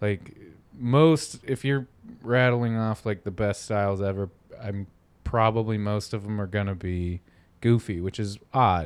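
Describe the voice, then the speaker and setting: With ordinary pitch variation, a plain, everyday voice talks at a fairly slow pace. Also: man, fairly low pitch for a man. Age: 30s. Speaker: skateboarding podcast co-host. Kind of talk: casual chat.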